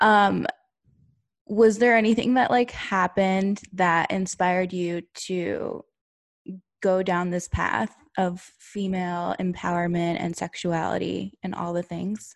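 Against a quiet background, a woman speaks at a very slow pace and medium pitch with ordinary pitch variation. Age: 30s. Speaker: podcast host. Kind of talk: casual chat.

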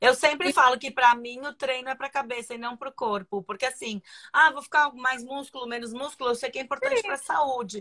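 A woman's raised, projected voice, high-pitched with a bright, sharp tone and ordinary pitch variation, very fast with hardly any pauses and big swings in loudness, on a very clean recording with a silent background and a dry, close sound with no echo. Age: 40s. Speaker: live stream host. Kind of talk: casual chat.

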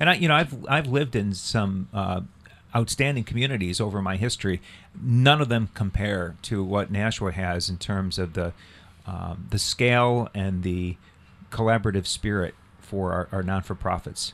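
A man talks in a normal speaking voice at a moderate pace with ordinary pitch variation. The recording is very clean, with a silent background. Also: fairly low pitch for a man. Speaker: clergy cyclist on sabbatical. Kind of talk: radio interview, casual chat.

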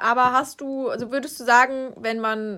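A woman speaks at a high pitch in a bright, sharp tone with fairly even intonation. The recording is very clean, with a silent background. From Hesse, Rüsselsheim. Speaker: podcast co-host. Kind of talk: casual chat.

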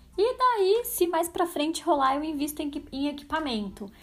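A woman speaks with lively intonation and an animated tone, keeping a fairly slow pace. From São Paulo state interior, Brazil. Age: 30s. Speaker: podcast host. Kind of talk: solo podcast monologue.

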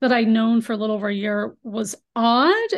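A woman speaks at a moderate pace. Her pitch shows ordinary variation. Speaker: abuse survivor sharing testimony. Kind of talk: testimony. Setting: video call, camera off.

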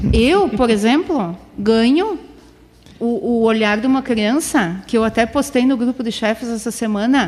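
Her pitch is high, and it rises and falls in an ordinary way. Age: 40s. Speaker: PE teacher and scout leader. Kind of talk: casual interview. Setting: studio.

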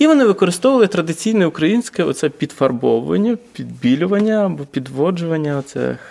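Over noticeable background noise, a man with a high pitch talks at a fairly quick pace with lively intonation and hardly any pauses. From Vinnytsia, Ukraine. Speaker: urban activist. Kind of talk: casual chat. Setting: large hall, basement.

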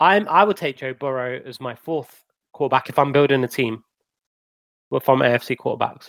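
In an English accent, a man talks with big swings in loudness and ordinary pitch variation. The sound is dry and close, with no echo. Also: medium pitch for a man, moderate pace. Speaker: podcast co-host. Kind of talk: casual chat.

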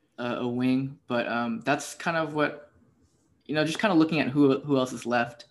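A man speaks in a normal speaking voice, fairly high in pitch, with fairly even intonation at a moderate pace. The background is quiet. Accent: American. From Houston, Texas. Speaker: podcast host. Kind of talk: casual chat.

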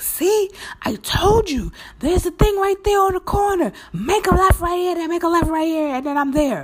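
Shouting in a put-on character voice at an extremely high pitch, the speaker keeps a moderate pace over light background noise. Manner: yelling, irritated.

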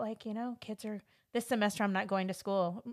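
A woman speaks in a Californian accent. The recording is very clean, with a silent background. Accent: Californian American English. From Los Angeles, US. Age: 40s. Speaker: podcast host. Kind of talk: casual interview chat.

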